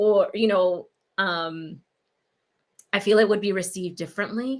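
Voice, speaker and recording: The woman speaks at medium pitch and a moderate pace. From New York City, Puerto Rican family. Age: young. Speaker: pediatrician. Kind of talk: interview.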